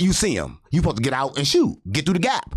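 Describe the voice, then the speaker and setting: A man talks at a very fast pace in an animated tone. His pitch swings very widely, with vocal fry throughout. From St. Louis, Missouri. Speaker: podcast guest. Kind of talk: heated debate.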